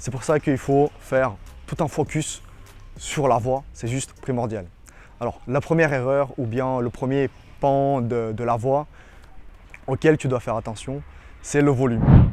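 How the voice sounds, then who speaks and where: A man with a dark, mellow tone speaks fairly slowly, leaving long, frequent pauses. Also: medium pitch for a man, fairly even intonation. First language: not French (speaking French). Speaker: dating coach. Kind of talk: tutorial. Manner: halting.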